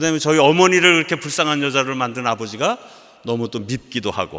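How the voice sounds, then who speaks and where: A man speaks at a fairly quick pace with a fairly high pitch and lively intonation. He has a normal speaking voice. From South Korea. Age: 60s. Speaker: missionary. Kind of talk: sermon.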